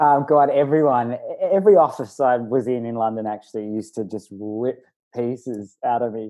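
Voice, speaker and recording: A fairly quick delivery in an Australian accent. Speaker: video producer and voice artist. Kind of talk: casual chat.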